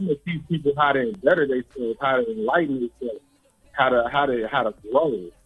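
A man delivers his words rather quickly in a plain, everyday voice, his pitch shifting in a normal way. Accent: American. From San Francisco Bay Area, California. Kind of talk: interview. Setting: phone call.

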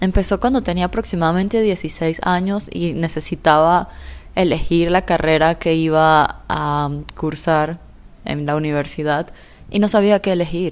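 Here a woman talks at a fairly slow pace. Her pitch is fairly low, with ordinary variation. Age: 20s. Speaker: podcast host. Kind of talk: solo podcast monologue.

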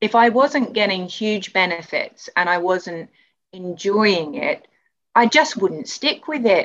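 Speaking at a very slow pace, a woman with a British accent uses lively intonation and a fairly high pitch. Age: 40s. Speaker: artist and movement client. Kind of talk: interview.

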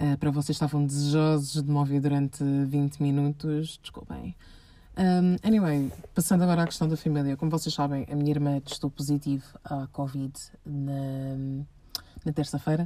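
A woman's very deep, low voice carries a dark, mellow tone and fairly even intonation. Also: moderate pace. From Portugal, Lisbon. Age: 20s. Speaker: podcast host, master's student. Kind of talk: casual personal monologue. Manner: rambling with fillers.

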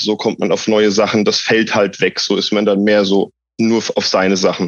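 The intonation is monotone and flat. It belongs to a man. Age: 30s. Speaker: patient, social work student. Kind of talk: interview.

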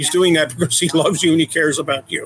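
In an American accent, an unremarkable speaking voice moves at a fairly quick pace. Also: man. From Philadelphia area, US. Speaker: adoptive father, IT worker. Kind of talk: casual interview chat.

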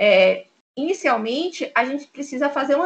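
Raising and projecting her voice, a woman speaks at a high pitch with lively intonation and a bright, sharp tone. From Bahia, Brazil (Salvador). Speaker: lawyer. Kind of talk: interview.

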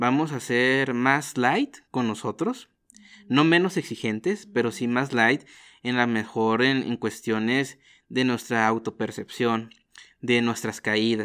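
Speaking at a very slow pace and a medium pitch, a man is heard in a very clean recording with a silent background. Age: 20s. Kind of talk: interview conversation.

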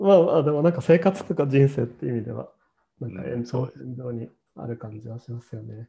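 A man talks at a fairly quick pace with medium pitch and lively intonation. His voice is somewhat breathy, with big swings in loudness. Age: 30s. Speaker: podcast host. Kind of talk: casual chat. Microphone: no microphone, hard to hear.

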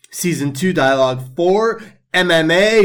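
Fairly slow in pace, the delivery has lively intonation. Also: man. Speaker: podcast co-host (the hippie). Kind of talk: casual political discussion. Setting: Turkey. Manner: impassioned, emphatic, sarcastic.

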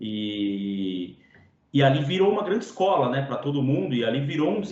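Over noticeable background noise and audible room echo, a man talks at a moderate pace. His intonation is lively. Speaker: podcast host. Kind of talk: podcast interview. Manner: casual, slangy.

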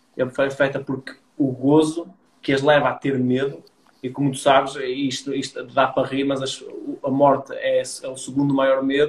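Somewhat breathy, a man speaks with monotone, flat intonation. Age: 30s. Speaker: entrepreneur. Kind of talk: casual interview chat.

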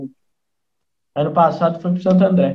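This man has a high pitch. His tone is dark and mellow. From Minas Gerais, Brazil (Brumadinho, raised in Nova Lima). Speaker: football fan, amateur player. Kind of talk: casual chat.

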